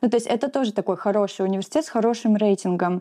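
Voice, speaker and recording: Over a quiet background, a woman's dark, mellow tone carries ordinary pitch variation. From Russian Far East, Magadan. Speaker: immigrant sharing experience. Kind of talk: interview.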